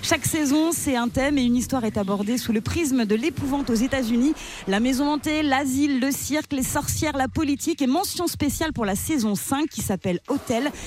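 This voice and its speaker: Over noticeable background noise, a woman with a high pitch speaks at a fairly quick pace, with ordinary pitch variation and very even loudness. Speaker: radio co-host. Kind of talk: casual radio chat. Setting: studio.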